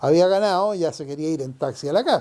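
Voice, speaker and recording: A man speaks with a Chilean accent, a high pitch, and a dark, mellow tone. His pitch varies in an ordinary way in a very clean recording with a silent background. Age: 70s. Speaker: longtime neighborhood resident. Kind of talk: oral history interview answer.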